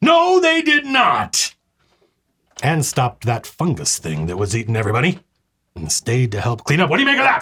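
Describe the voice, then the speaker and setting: A man speaks in a put-on character voice at a moderate pace. His delivery has long, frequent pauses. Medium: actual play. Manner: gruff, suspicious, sardonic.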